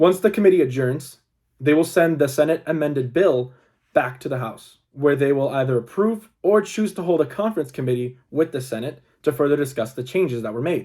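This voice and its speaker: Lively intonation marks this man's dark, mellow voice, which sits at a fairly high pitch and moves at a fairly quick pace. The recording is very clean, with a silent background. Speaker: student. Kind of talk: class presentation. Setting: recorded video presentation. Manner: halting.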